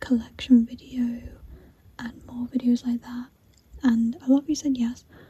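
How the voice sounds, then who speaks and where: A soft-spoken woman's high, flat, monotone voice at a moderate pace amid noticeable background noise. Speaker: ASMR creator. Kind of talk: soft-spoken ASMR show and tell.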